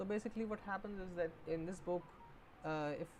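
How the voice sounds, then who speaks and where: Her pitch varies in an ordinary way. This woman speaks with a non-native accent. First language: not English. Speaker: book streamer. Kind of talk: livestream book discussion. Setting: live stream. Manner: halting, many fillers.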